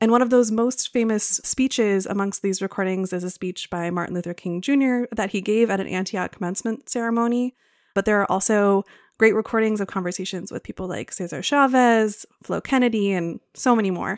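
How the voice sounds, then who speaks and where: A woman speaks in a normal speaking voice at a medium pitch and a fairly quick pace, with ordinary pitch variation, on a very clean recording with a silent background and a dry, close sound with no echo. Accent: American. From Wisconsin. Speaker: podcast editor and guest host. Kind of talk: interview; scripted introduction. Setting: studio.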